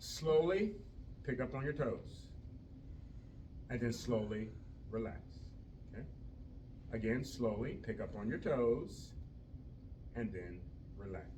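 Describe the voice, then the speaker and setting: A man speaks fairly slowly at medium pitch, with ordinary pitch variation. He leaves long, frequent pauses, and the room echo is audible. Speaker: fitness instructor for seniors. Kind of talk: exercise class instruction. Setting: group class at senior village.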